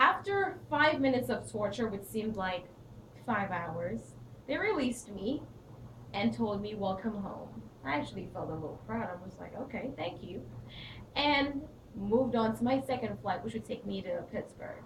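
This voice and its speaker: A woman with an American accent, fairly high pitch and lively intonation at a moderate pace, with audible room echo and noticeable background noise. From Saint Lucia. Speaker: public speaking student. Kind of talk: speech.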